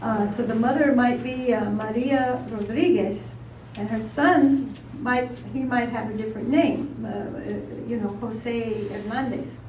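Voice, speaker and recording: A woman speaks at a fairly slow pace with an American accent. The room echo is audible, and there is noticeable background noise. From New York. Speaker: panel moderator. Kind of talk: panel discussion.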